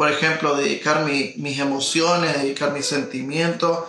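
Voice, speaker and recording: A man with a fairly high pitch talks amid audible room echo and noticeable background noise. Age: 30s. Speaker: pastor. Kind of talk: interview.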